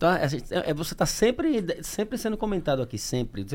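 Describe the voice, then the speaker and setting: This is a man speaking. His pitch is high. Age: 40s. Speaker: podcast host. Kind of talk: casual interview chat. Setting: studio live stream.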